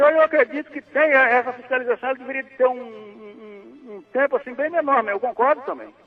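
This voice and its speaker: Over noticeable background noise, a man speaks at an extremely high pitch with ordinary pitch variation. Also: fairly quick pace. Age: 70s. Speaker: caller. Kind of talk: phone-in chat. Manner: halting.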